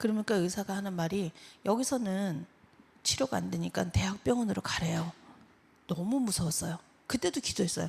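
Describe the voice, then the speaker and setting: Vocal fry runs through a woman's dark, mellow tone. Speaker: church member giving testimony. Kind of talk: testimony.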